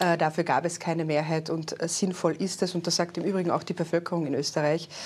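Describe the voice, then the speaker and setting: The recording is very clean with a silent background, and a woman talks at a fairly quick pace in a fairly low pitch with monotone, flat intonation. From Austria, Carinthia. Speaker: politician, party secretary general. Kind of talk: political interview. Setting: studio.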